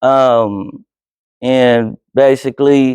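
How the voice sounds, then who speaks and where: A man talks in an American accent, the sound dry and close with no echo. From Oakland, California (Alameda / East Oakland). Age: 30s. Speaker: filmmaker and journalist. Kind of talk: talk to high school class. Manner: casual, with frequent hesitations.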